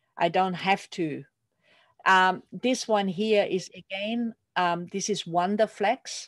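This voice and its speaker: A woman with a medium pitch speaks at a very slow pace with fairly even intonation. The sound is dry and close with no echo, over a quiet background. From Austria, small rural community. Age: 60s. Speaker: milliner and hatmaking teacher. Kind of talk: online workshop presentation. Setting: video call.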